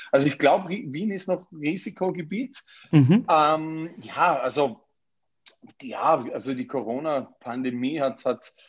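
Here a man talks very slowly with ordinary pitch variation. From Austria, Vorarlberg. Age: 30s. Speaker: real estate agent. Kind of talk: interview. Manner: hesitant, many fillers and repetitions.

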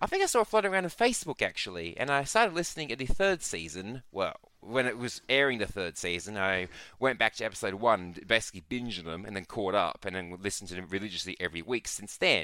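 In a very clean recording with a silent background, a man with an Australian accent speaks very fast at a fairly low pitch, with lively intonation and a bright, sharp tone. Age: 20s. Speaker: podcast guest. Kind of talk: casual chat.

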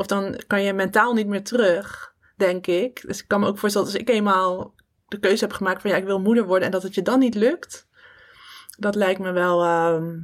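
Her voice is an ordinary speaking voice, a woman at medium pitch with fairly even intonation. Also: moderate pace. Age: 30s. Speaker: podcast host. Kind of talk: personal podcast monologue.

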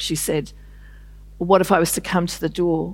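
A woman with a New Zealand accent at a fairly quick pace, on a very clean recording with a silent background. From New Zealand, Māori from north of Auckland. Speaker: novelist. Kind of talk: festival interview on stage. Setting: stage with audience.

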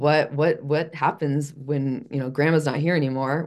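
Her voice is very deep and low, a woman with an American accent speaking at a moderate pace in a dark, mellow tone with vocal fry and a flat monotone. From US Midwest, Chicago. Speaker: fitness and wellness coach. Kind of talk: interview, personal life story. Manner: halting, many fillers and restarts.

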